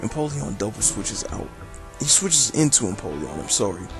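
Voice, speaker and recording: A man speaks with music playing in the background. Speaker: video game battle commentator. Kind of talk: game commentary narration. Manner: casual.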